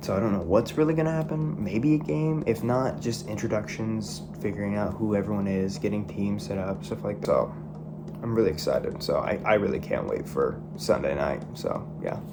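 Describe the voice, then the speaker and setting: A man talks at a moderate pace, his words echoing audibly in the room amid noticeable background noise. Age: young. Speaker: reality game contestant. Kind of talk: confessional video interview.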